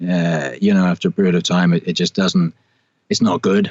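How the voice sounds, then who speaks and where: The delivery is monotone and flat, moving at a moderate pace. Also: man. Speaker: voice actor. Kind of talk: interview. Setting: video call. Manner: halting, many fillers.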